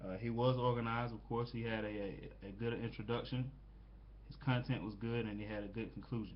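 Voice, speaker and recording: A man with an American accent talks at a fairly quick pace and a medium pitch. His intonation stays monotone and flat, and the room echo is audible. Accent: southern US, noticeable at times. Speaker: student. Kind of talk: peer critique presentation. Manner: halting, many fillers.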